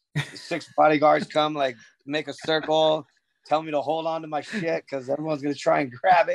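In a dry, close recording with no echo, a man with an American accent speaks at a fairly quick pace, his fairly high pitch held monotone and flat. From US West Coast (Southern California). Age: 40s. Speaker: pro inline skater. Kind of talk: interview, casual chat.

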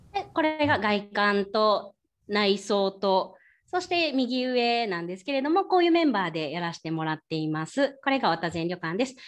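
A woman at a medium pitch and moderate pace, with very wide pitch swings, over a quiet background. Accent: Kyoto. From Kyoto, Japan. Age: 30s. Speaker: ryokan young proprietress. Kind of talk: presentation with slides.

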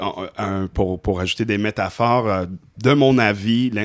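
A man speaks at a very slow pace. His pitch sits fairly low. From Indonesia. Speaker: professional musician and artist. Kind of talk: casual chat.

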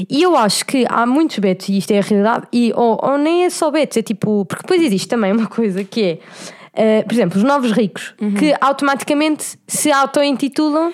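A woman with a high pitch talks at a fairly quick pace, her loudness very even and her intonation lively. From Portugal, Cascais. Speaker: podcast co-host. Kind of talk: casual chat.

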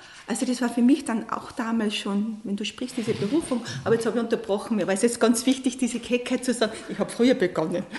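Over noticeable background noise, a woman rushes at a very fast pace with hardly any pauses, fairly high pitch and ordinary pitch variation. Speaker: coach and aid worker. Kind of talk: radio interview. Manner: emotional, voice falters.

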